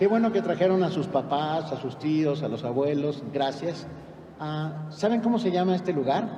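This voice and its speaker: The voice moves at a moderate pace with ordinary pitch variation. Audible room echo and noticeable background noise fill the recording. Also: man, fairly high pitch for a man. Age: 60s. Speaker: concert narrator. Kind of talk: live narration to children. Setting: concert hall stage with audience. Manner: animated.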